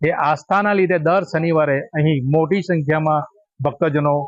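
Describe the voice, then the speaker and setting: Pitch variation here is ordinary. It is an unremarkable speaking voice. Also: man. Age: 50s. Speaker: local devotee. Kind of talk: interview statement.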